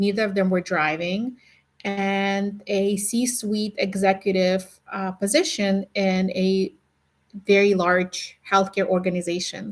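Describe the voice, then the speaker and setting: A woman speaks at a very slow pace with a medium pitch. Her intonation stays fairly even. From Ukraine. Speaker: podcast host, nurse. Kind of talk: casual podcast monologue. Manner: conversational with fillers and hesitations.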